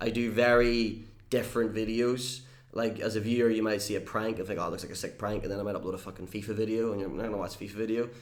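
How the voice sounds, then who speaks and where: A man talks very fast at a medium pitch. His intonation is flat and monotone, with audible room echo. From Northern Ireland. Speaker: YouTuber and entertainer. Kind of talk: casual interview chat.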